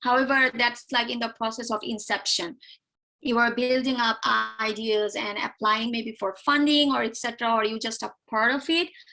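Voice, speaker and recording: A woman with a fairly high pitch speaks in a bright, sharp tone with fairly even intonation. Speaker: economics PhD graduate and university instructor. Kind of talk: tutorial. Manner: fast.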